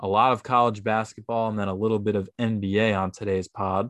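Against a quiet background, a man with a fairly low voice speaks at a moderate pace with fairly even intonation. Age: 20s. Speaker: sports podcast host. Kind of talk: solo sports commentary monologue. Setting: home recording, basement. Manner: casual, many fillers.

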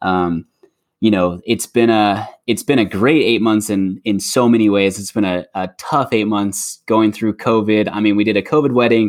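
A man speaks in a plain, everyday voice at a fairly low pitch and moderate pace, with fairly even intonation. The recording is very clean with a silent background. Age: 20s. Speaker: mortgage loan officer, returning guest. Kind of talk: casual chat.

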